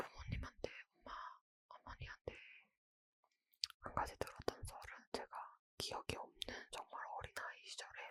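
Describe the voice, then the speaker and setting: The speaker is whispering. Long pauses come often. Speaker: ASMR creator. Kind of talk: whispered ASMR ramble, casual chat. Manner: whispered, soft, slow.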